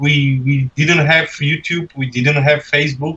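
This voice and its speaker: Fairly slow, monotone, flat speech from a man with a non-native accent, with music in the background. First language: not English. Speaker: beatboxer. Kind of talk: casual chat. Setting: livestream video call.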